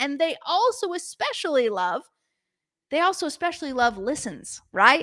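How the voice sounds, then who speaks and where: In a raised, projected voice, a woman speaks with a high pitch, a bright, sharp tone, an animated tone and very wide pitch swings. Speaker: podcast host. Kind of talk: podcast monologue, call to action. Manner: fast.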